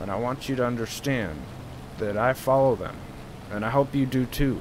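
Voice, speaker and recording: Someone with an American accent speaks at a moderate pace with ordinary pitch variation over noticeable background noise. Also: man. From Southern California. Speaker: gaming streamer. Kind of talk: casual gameplay commentary.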